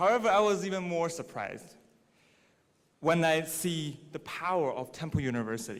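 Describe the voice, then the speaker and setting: Someone with a Mandarin accent speaks with lively intonation. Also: man, fairly high pitch for a man, moderate pace. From China, Dalian. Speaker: graduating student speaker. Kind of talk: commencement speech. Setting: stage with audience.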